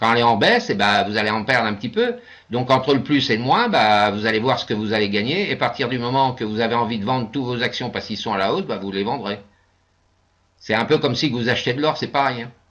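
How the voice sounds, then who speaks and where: Over a quiet background, a man talks very fast at medium pitch with ordinary pitch variation. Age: 60s. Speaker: investment scheme presenter. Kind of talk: webinar presentation with Q&A. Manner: hesitant, many fillers.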